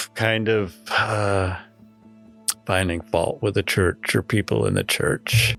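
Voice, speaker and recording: Over music in the background, a man talks at a very slow pace with a fairly low pitch. His intonation is fairly even and his loudness very even. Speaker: church member recounting addiction. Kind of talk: interview answer.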